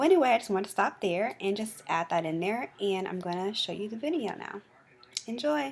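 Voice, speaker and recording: A woman talks at a fairly quick pace with lively intonation. She has a normal speaking voice. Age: 20s. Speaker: video blogger and mental health advocate. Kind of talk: casual commentary.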